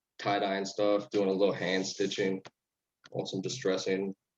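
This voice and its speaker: A man's fairly low voice comes at a moderate pace in a monotone, flat intonation. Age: 20s. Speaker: clothing designer. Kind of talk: casual interview. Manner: halting.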